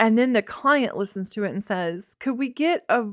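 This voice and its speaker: A woman with a Southern accent and ordinary pitch variation, in a very clean recording with a silent background and a dry, close, echo-free sound. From Tennessee. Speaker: filmmaker and podcast co-host. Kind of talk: casual chat.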